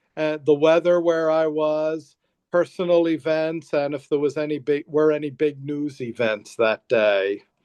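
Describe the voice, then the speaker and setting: A man speaks fairly slowly at a fairly high pitch. His is a plain, everyday voice with ordinary pitch variation. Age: 60s. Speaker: counselor and life coach. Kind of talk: interview.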